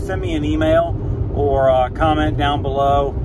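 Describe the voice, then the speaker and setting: A man talks fairly slowly, his voice dry and echo-free, with noticeable noise in the background. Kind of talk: casual vlog chat. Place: car. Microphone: phone near.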